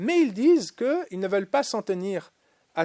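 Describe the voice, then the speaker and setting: A man talks at a fairly slow pace with lively intonation, recorded very cleanly against a silent background, the sound dry and close with no echo. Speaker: lecturer. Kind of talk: lecture. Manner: hesitant, many filler sounds.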